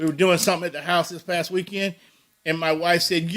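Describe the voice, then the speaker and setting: A man speaks with a high pitch. His intonation stays monotone and flat. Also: fairly quick pace. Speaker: sports talk show host. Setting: studio with microphones. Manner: loud, sounds like yelling even when talking normally.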